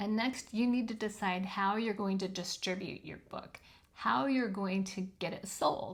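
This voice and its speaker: A woman speaks at a fairly slow pace in a medium pitch, somewhat breathy, with ordinary pitch variation. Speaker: self-published author and video host. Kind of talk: tutorial. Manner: casual with frequent filler ums.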